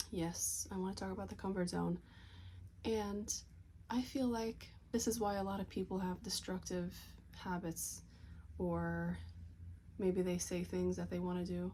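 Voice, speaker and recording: A soft-spoken woman talks at a moderate pace. She leaves long, frequent pauses. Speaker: vlogger. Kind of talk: casual motivational talk to camera. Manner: soft-spoken, talking low.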